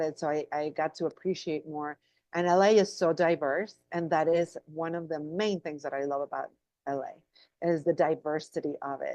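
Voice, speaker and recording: A woman with a Spanish accent, very deep and low in pitch, dark and mellow in tone, at a moderate pace with fairly even intonation, in a dry, close sound with no echo and a quiet background. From Mexico, Guadalajara. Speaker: actress. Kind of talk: interview.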